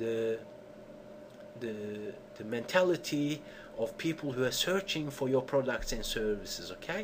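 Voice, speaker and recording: Pausing long and often, a man speaks with lively intonation. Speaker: SEO tutorial presenter. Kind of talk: tutorial. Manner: animated.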